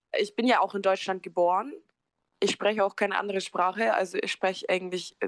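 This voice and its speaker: A woman speaks in a plain, everyday voice at a medium pitch and a fairly quick pace. The sound is dry and close, with no echo. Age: 20s. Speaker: care worker, interview guest. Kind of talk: personal testimony.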